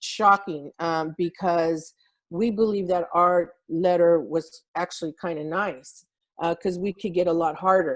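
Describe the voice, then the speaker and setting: Her pitch fairly low and her intonation fairly even, a woman speaks at a fairly slow pace. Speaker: labor organizer. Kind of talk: online meeting report. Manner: loud.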